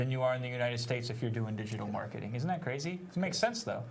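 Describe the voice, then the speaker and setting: A man's medium-pitched voice, with ordinary pitch variation, carries through audible room echo and noticeable background noise. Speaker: digital marketing trainer. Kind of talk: webinar teaching. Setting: live stream.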